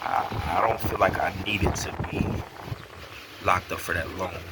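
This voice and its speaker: A man in an American accent speaks at a moderate pace, with noticeable noise behind him. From North Carolina and Delaware. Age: 30s. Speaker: YouTuber telling his conversion story. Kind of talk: personal testimony monologue. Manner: casual, with many fillers. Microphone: poor audio quality.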